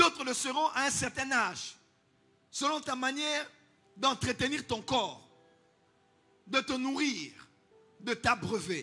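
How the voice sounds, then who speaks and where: Over music in the background, a man with an extremely high pitch uses a raised, projected voice at a very slow pace, with long, frequent pauses and ordinary pitch variation. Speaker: pastor. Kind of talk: sermon.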